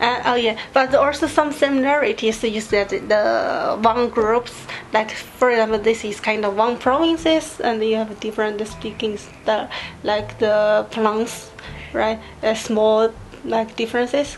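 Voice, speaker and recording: A fairly slow pace with ordinary pitch variation, over noticeable background noise. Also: woman, fairly high pitch for a woman. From China, Sichuan (Leshan). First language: Chinese (Sichuan dialect). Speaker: video host. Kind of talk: casual chat. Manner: halting.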